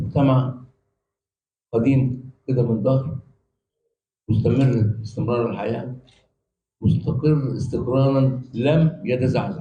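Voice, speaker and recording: A man's dark, mellow, somewhat breathy voice at medium pitch, with fairly even intonation, a very slow pace and long, frequent pauses. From Egypt, Cairo. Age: 80s+. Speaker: professor. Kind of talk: panel talk. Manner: halting.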